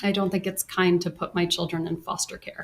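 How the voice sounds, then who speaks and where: A woman speaks fairly quickly in a somewhat breathy voice. Her pitch is fairly low and her intonation monotone and flat. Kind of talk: courtroom testimony answers.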